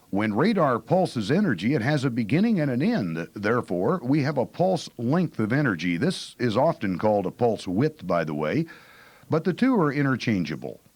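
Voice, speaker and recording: Delivered at a moderate pace with very wide pitch swings and vocal fry. The recording is very clean, with a silent background. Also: man, medium pitch for a man. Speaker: aviation weather radar instructor. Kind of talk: lecture. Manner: loud.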